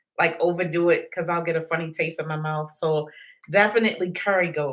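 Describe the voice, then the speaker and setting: This woman has an American accent and a medium pitch. Her tone is bright and sharp, and she keeps a moderate pace. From Maryland. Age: 50s. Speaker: YouTuber, former nurse. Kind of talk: live stream Q&A. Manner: casual, halting.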